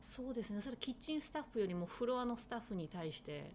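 A woman speaks in an ordinary speaking voice with lively intonation. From Tochigi, Japan. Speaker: chef, soba maker. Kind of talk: interview.

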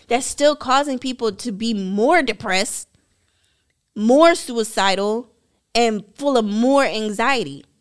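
A woman with a fairly high voice talks very slowly, her intonation lively, on a very clean recording with a silent background. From South Jersey. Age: 30s. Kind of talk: interview storytelling.

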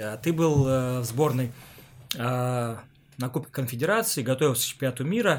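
A man has an unremarkable speaking voice at medium pitch. He talks at a moderate pace with ordinary pitch variation. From Siberia, Omsk. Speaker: podcast host, former footballer. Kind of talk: casual interview chat.

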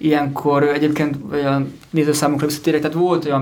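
A man with an unremarkable speaking voice talks at a fairly quick pace, his pitch fairly high. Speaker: film distribution company head. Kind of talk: panel discussion. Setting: studio.

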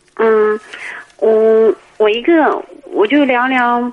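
A woman's high-pitched voice. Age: 30s. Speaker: caller. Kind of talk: phone-in advice call. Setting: phone call.

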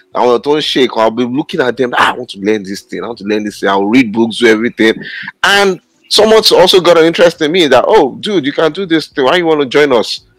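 Speaking at a very fast pace with a Nigerian accent, the voice rises and falls in very wide pitch swings. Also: man, fairly high pitch for a man. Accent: Nigerian (Yoruba) English. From Nigeria, Osun State. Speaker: podcast co-host. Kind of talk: panel discussion.

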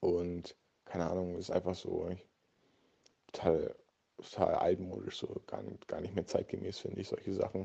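Pauses come long and often in this man's speech. Between them, he keeps a moderate pace. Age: 20s. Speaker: medical student. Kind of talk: casual interview. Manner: hesitant, many fillers.

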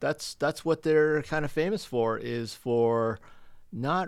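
On a very clean recording with a silent background, a man with a Canadian accent talks at a fairly slow pace with ordinary pitch variation. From Stratford, Ontario, Canada. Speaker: restaurant owner. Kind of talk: interview. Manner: halting.

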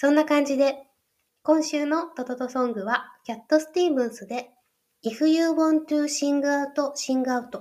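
Here is a woman with a high pitch. She talks at a fairly slow pace. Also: ordinary pitch variation. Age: 30s. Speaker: podcast host. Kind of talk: solo podcast monologue.

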